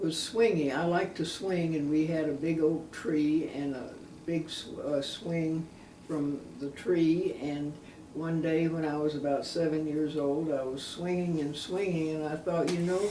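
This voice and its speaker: A woman with an Alabama accent speaks at a fairly slow pace in a very deep, low pitch with fairly even intonation. Audible room echo and noticeable background noise fill the recording. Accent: Southern US (Alabama). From US South, Alabama. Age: 80s+. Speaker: interviewee. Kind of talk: oral history interview. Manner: halting, many fillers.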